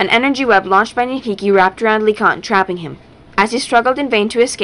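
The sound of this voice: Ordinary pitch variation in an unforced read-aloud voice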